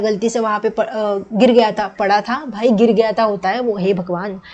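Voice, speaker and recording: With a Marathi accent, this voice has a dark, mellow tone and moves at a moderate pace. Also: woman. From Maharashtra, India. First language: Marathi (speaking Hindi). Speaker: student teacher / exam tutor. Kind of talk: lecture. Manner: casual, code-switching Hindi and English.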